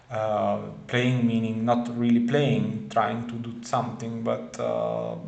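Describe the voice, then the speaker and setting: A very slow, fairly even voice in a non-native accent, with audible room echo and noticeable background noise. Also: man. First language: not English. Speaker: spiritual video creator. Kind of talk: casual monologue. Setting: at home in front of camera. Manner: halting, many fillers and repetitions.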